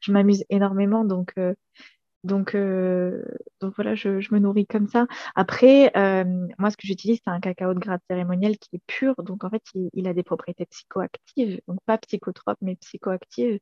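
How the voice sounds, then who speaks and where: A woman's medium-pitched voice with a dark, mellow tone, fairly even intonation, a moderate pace, and a dry, close sound with no echo. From southern France, Montpellier. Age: 20s. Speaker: energetic aromatherapist. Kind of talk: casual interview. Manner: hesitant, many fillers.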